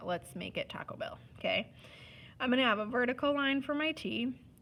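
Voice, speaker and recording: A woman talks at a moderate pace. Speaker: art teacher. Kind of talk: tutorial. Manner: casual, instructive.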